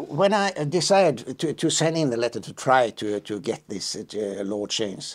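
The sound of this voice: A man at a fairly slow pace, medium in pitch, with ordinary pitch variation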